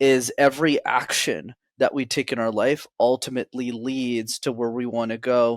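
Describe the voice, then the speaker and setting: Fairly even intonation on a very clean recording with a silent background and a dry, close sound with no echo. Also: man. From Montreal, Canada. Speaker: public speaking coach. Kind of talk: podcast interview.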